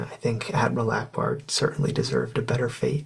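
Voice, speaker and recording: Over noticeable background noise, a man is speaking. His pace is fairly quick. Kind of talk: soft-spoken ASMR talk to camera. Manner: conversational, opinionated, reflective.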